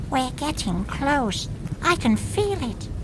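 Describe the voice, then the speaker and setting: A put-on character voice, female-sounding and fairly slow, over loud background noise. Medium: video game. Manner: hesitant, stuttering.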